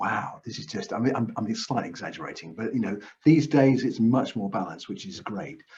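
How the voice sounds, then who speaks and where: Lively intonation runs through a normal speaking voice. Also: man. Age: 60s. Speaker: counsellor. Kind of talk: interview answers.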